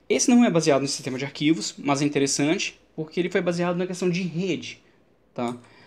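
At a very fast pace, a man speaks with a high pitch and lively intonation. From Brazil. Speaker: Linux instructor and tech YouTuber; Linux instructor, tech YouTuber. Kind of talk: tech commentary video. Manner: casual, conversational. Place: home room. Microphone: studio mic.

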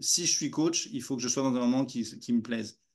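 With little sound behind him, a man talks at a moderate pace. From France. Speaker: walking coach. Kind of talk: interview; interview answer. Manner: halting. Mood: warm, smiling. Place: home room. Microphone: video call.

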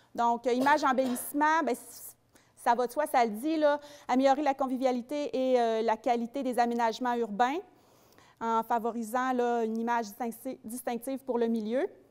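The voice moves at a moderate pace with fairly even intonation and long, frequent pauses. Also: woman, high pitch for a woman. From Quebec. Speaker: community development officer; presenter. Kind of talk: public presentation. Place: hall. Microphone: handheld.

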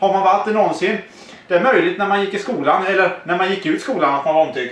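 With audible room echo, a man with a high pitch talks at a very fast pace. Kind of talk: casual conversation. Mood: joking, laughing. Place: home room. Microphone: camera far.

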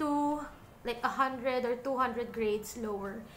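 A woman speaks in a raised, projected voice with a bright, sharp tone and ordinary pitch variation, over light background noise. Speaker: beauty vlogger. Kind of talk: casual makeup tutorial chat. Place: home room. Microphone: studio mic.

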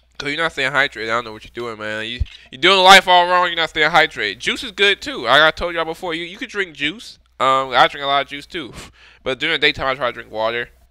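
Over a quiet background, a man talks at a very fast pace in a bright, sharp tone with big swings in loudness, the sound dry with no echo. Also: lively intonation. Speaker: music reaction streamer. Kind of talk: casual vlog chat. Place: home room. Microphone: headset.

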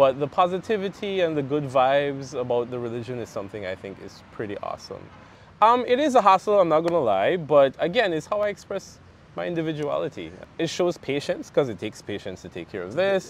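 A man with a Caribbean accent speaks at a fairly quick pace in a fairly high voice, with very wide pitch swings and big swings in loudness. The sound is dry with no echo, over light background noise. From Belize, raised there after birth in Guyana. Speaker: interview guest. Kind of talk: casual interview. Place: garden. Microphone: lapel.

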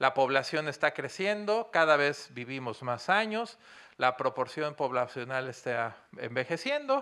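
A man with a Mexican accent speaks at a fairly slow pace with lively intonation and a fairly high pitch. His tone is bright and sharp, on a very clean recording with a silent background. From Mexico. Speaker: business consultant and university lecturer. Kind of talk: lecture. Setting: stage with audience.

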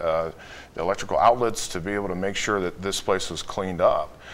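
A man with an American accent speaks at a fairly low pitch with ordinary pitch variation. Light background noise can be heard. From Chicago. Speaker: wealth management executive; guest. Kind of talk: interview. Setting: studio. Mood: earnest, enthusiastic. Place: studio. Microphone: lapel.

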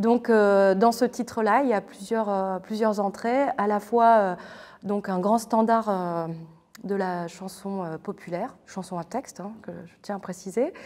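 At a very slow pace, a woman speaks in a medium pitch with a dark, mellow tone and ordinary pitch variation over a quiet background. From northern France, near Lille; northern France. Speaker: theatre artist. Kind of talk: interview. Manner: hesitant, many filler sounds. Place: hall.

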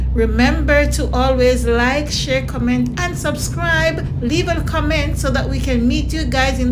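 Fairly slow speech from a woman, noticeable background noise behind it. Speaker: vlogger. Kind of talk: casual vlog chat. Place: car.

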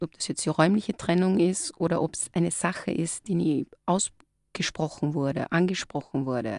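With an ordinary speaking voice, a woman talks at a fairly low pitch with ordinary pitch variation, in a dry, close sound with no echo. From Styria, Austria. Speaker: clinical psychologist. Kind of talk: live radio interview. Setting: radio studio.

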